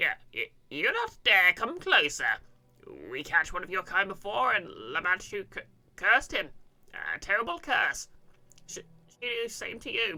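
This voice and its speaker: A put-on, shaky, female-sounding character voice, fairly high in pitch, at a moderate pace with long, frequent pauses. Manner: fearful, threatening.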